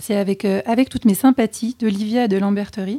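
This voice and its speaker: A woman talks at a fairly quick pace in a fairly high, somewhat breathy voice with a dark, mellow tone and fairly even intonation. The recording is very clean, dry and close, with a silent background and no echo. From French Alps. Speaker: podcast co-host. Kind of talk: casual chat.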